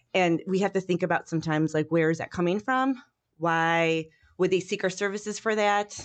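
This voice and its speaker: A woman with a Chicago accent, medium pitch, ordinary pitch variation and a fairly quick pace. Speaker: university professor. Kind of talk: casual interview chat.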